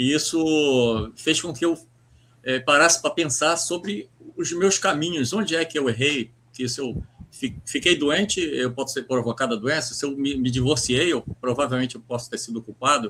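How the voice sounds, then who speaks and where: A man speaks in a fairly high voice at a moderate pace. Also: ordinary pitch variation. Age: 60s. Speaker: writer and poet. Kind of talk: interview. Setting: live stream. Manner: halting, many repetitions.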